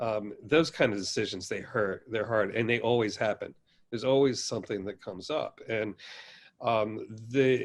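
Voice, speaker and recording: At a moderate pace, a man speaks with fairly even intonation in a very clean recording with a silent background. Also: medium pitch for a man. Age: 60s. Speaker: baker and pizzeria owner. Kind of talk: podcast interview. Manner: halting, many fillers.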